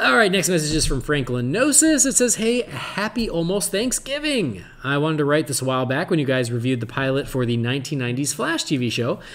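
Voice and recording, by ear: This man speaks at a fairly quick pace with a fairly bright tone, fairly high pitch and big pitch swings.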